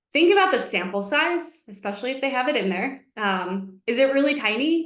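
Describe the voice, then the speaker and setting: A woman's high voice at a moderate pace, with audible room echo. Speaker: economics researcher, webinar presenter. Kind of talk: webinar presentation. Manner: animated.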